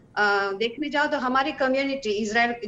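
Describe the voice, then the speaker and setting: With a Hebrew accent, a woman talks at a high pitch and with lively intonation. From Israel. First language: Hebrew (speaking Hindi). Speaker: singer. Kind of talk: interview. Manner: halting.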